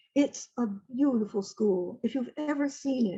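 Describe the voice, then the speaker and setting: A woman speaks with a Northeastern US accent at a fairly slow pace. Her voice is somewhat breathy. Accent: American, Northeast. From upstate New York. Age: 80s+. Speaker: retired literature teacher. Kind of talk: oral history interview. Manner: halting.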